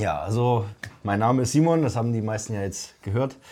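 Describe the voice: A man talks at a fairly quick pace in a dark, mellow tone. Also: fairly low pitch for a man, ordinary pitch variation.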